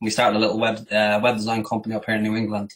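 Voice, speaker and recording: Recorded very cleanly over a silent background, a man speaks at medium pitch with an Irish accent. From Ireland, Dublin. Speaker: digital marketing agency owner. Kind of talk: interview.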